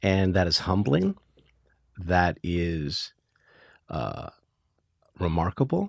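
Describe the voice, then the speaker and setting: Here a man's voice is very deep and low, with ordinary pitch variation, at a very slow pace with long, frequent pauses. It's a very clean recording with a silent background. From Hawaii. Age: 60s. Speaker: theater producer. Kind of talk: interview. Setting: studio.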